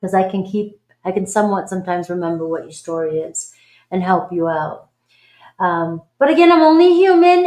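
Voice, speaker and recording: A woman with a Boston accent at a moderate pace, her pitch swinging very widely over a quiet background. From Boston, US. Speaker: tarot reader. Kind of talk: live stream reading chat. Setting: live stream. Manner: animated.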